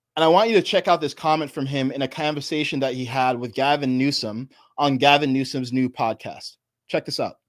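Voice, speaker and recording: In an American accent, a man with a fairly high pitch and a normal speaking voice talks at a fairly quick pace with ordinary pitch variation. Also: very clean recording, silent background. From New York. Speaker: political commentator. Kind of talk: live stream commentary.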